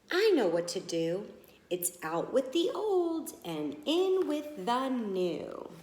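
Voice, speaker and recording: A put-on character voice moves at a very slow pace with a cheerful tone and very wide pitch swings. A slight echo is present. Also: woman, high pitch for a woman. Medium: read story. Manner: eager, cheerful.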